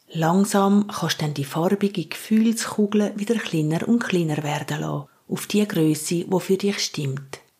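A woman's ordinary speaking voice, medium in pitch, with ordinary pitch variation, a fairly slow pace and hardly any pauses. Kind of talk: guided meditation. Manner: slow, calm, soothing.

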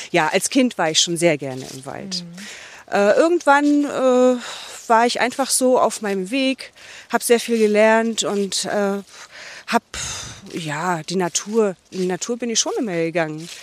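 Very wide pitch swings, a fairly slow pace, and long, frequent pauses. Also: woman, medium pitch for a woman. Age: 50s. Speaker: forest therapy guide. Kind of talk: walking interview. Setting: outdoors. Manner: halting.

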